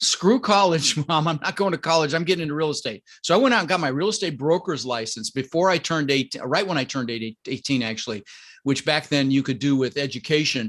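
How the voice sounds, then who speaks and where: Energetic and very fast, a man talks with lively intonation at a fairly high pitch. The background is quiet. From Colorado, US. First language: Dutch. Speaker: real estate investor and coach. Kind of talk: podcast interview.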